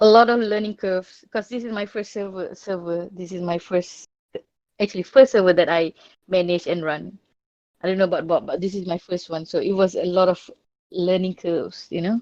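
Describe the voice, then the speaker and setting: A woman with a non-native accent speaks at a fairly quick pace. Her medium-pitched voice keeps fairly even intonation. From Malaysia. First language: not English. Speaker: discord server owner. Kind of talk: interview. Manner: halting.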